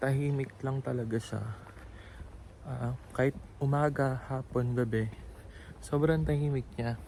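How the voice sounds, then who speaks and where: A soft-spoken man talks at a fairly slow pace in a somewhat breathy, dark, mellow voice. His pitch is medium, with ordinary pitch variation. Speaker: vlogger. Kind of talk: walking tour vlog. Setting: outdoors. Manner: casual.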